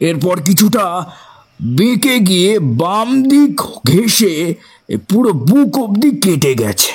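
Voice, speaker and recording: A man puts on a character voice, pitched high with very wide swings. He talks at a fairly slow pace. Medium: audio drama. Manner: frank, somewhat formal.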